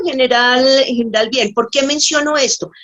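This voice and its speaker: Her voice pitched high, a woman talks with ordinary pitch variation. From Colombia, Bogotá and Tocaima. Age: 60s. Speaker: nurse giving a faith testimony. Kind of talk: testimony. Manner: halting, with many fillers.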